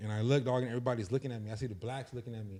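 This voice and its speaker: A man's voice carries a dark, mellow tone. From Inland Empire, Southern California. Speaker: content creator. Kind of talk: interview storytelling. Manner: casual slangy.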